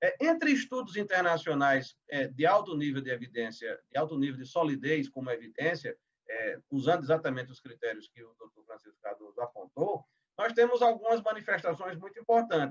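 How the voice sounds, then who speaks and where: High-pitched and fairly quick, a man's voice shows very wide pitch swings and big swings in loudness. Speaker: legal professional panelist. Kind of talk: webinar presentation. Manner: fast; halting, many fillers.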